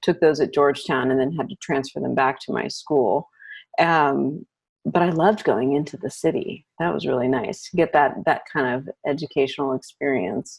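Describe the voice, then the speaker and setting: Speaking at a moderate pace with an American accent, a woman uses lively intonation in a very deep, low voice marked by vocal fry. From US, Arlington, Virginia (DC area). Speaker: destination wedding photographer. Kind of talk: casual interview chat.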